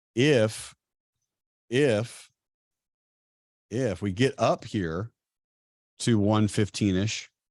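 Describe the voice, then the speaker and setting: A man's fairly low voice at a very slow pace, with long, frequent pauses and ordinary pitch variation, on a very clean recording with a silent background. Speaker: trading mentor. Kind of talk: live trading class. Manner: animated.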